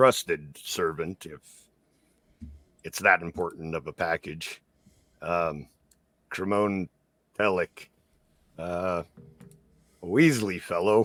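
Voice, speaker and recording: A man puts on a raspy character voice with a very deep, low pitch. He talks at a fairly slow pace with ordinary pitch variation. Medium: actual play. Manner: hesitant, rambling.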